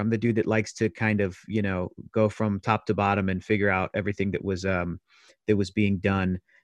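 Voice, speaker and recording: A man with an unremarkable speaking voice talks at a fairly quick pace with fairly low pitch and fairly even intonation. The sound is dry and close with no echo, over a quiet background. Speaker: former comics show host. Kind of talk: casual chat.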